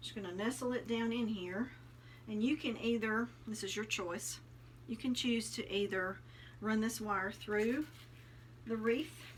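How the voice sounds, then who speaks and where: A woman with a Southern US accent speaks fairly slowly at a fairly high pitch, somewhat breathy and with ordinary pitch variation. Her pauses are long and frequent. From US South, Tennessee. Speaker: craft youtuber. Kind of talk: tutorial. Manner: casual, friendly.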